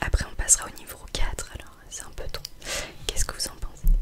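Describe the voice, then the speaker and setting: The voice is a whisper. Background noise is noticeable. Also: woman. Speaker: ASMR artist doing optician roleplay. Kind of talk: ASMR roleplay, eye exam. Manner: soft, gentle, caring.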